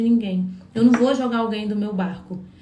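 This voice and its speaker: Speaking very fast, a woman is heard with audible echo from the room and noticeable noise behind her. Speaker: psychologist giving relationship advice. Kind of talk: live stream talk to viewers. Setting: live stream.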